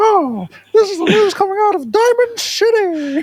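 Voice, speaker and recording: Put-on character voice from a female speaker, pitched extremely high, moving at a moderate pace. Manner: shouting headlines, newsy.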